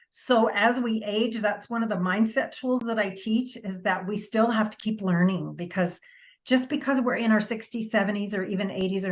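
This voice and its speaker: A woman speaks at a moderate pace in a medium pitch, her voice somewhat breathy and her pitch varying in an ordinary way. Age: 60s. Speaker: wellness coach. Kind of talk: interview.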